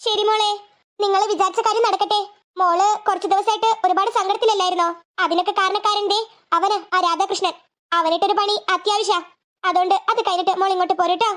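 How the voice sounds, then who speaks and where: In a cartoonish character voice, a woman talks at an extremely high pitch with a monotone, flat intonation. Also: moderate pace. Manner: affectionate, insistent.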